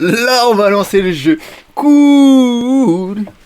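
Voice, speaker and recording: Noticeable background noise sits behind the speaker. He is a man whose pitch swings very widely. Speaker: gaming streamer. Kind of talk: live gameplay commentary. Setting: live stream. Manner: casual, hesitant with fillers.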